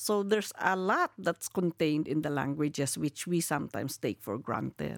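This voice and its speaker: Speaking in a Filipino accent, a woman with a very deep, low voice talks at a moderate pace with lively intonation and hardly any pauses, recorded dry and close with no echo. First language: Kankanaey. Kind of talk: interview. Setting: live podcast at UNESCO headquarters.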